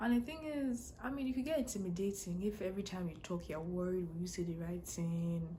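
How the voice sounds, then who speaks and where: A woman with a strong Nigerian accent talks at a fairly quick pace with hardly any pauses, medium pitch and lively intonation, over noticeable background noise and audible room echo. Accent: heavy Nigerian. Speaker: international student blogger. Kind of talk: casual vlog advice talk. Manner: fast, runs words together.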